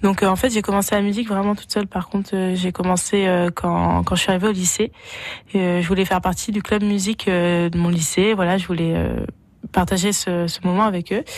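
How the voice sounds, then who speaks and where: A woman talks at a fairly quick pace with flat, monotone intonation. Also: medium pitch for a woman. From France, Berry (Vierzon). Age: 20s. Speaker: singer. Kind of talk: radio interview. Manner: hesitant, filler words.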